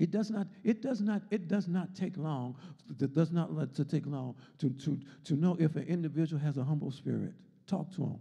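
A man with an American accent, fairly high in pitch, with a dark, mellow tone, ordinary pitch variation and a moderate pace over a quiet background. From US. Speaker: Sunday school teacher, deacon. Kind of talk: Bible lesson and sermon, with prayer. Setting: church, streamed video with congregation. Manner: rhythmic, repetitive, call-and-response preaching, fervent and rising in intensity; repeats words and phrases, stop-start, emphatic. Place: church. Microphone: handheld.

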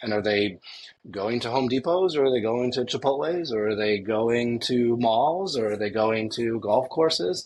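Against light background noise, a man talks at a moderate pace with ordinary pitch variation. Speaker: remote podcast guest. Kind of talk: interview answer. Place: home room. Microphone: earbuds.

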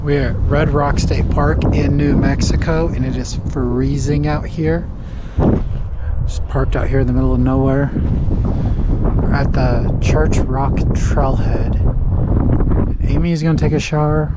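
A man speaks fairly slowly with long, frequent pauses. The sound is dry with no echo, but loud background noise is present. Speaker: parent vlogger. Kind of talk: casual vlog chat. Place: open country. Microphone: phone near.

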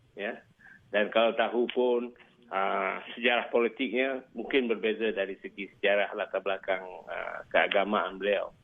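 Fairly slow and fairly even in intonation, a man speaks at a fairly low pitch. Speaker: professor. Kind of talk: interview commentary. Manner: halting.

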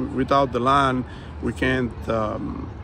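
A man is heard in a dry recording with no echo, with noticeable background noise behind him. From Nicaragua, Miskitu people of Mosquitia; Nicaragua. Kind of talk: interview. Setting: UN forum venue. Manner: halting, many fillers. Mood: earnest, calm. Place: open country. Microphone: phone near.

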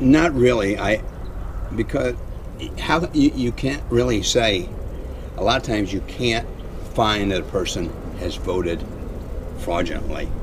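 Noticeable background noise surrounds a man's voice. He talks fairly slowly, with long, frequent pauses. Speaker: passerby interviewee. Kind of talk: casual conversation. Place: open country. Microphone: camera far.

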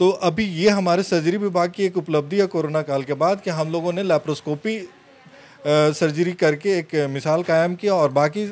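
A high-pitched man speaking fairly slowly, his intonation fairly even. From Ranchi, Jharkhand, India; Jharkhand, India. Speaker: surgeon; interviewee. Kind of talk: interview. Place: office. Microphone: handheld.

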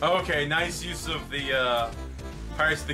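A man speaks over clear music in the background. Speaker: reaction video host. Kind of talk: casual commentary.

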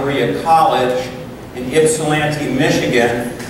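Amid noticeable background noise and strong room echo, a man speaks in a monotone, flat intonation. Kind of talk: lecture. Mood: warm, conversational. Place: meeting room.

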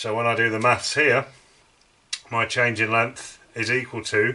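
A man at a moderate pace. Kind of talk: tutorial. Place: workshop.

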